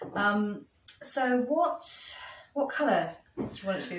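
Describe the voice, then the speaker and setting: With lively intonation, a woman speaks at a moderate pace amid audible room echo. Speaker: soap maker demonstrating a recipe. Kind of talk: tutorial. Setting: chapel venue used as a kitchen.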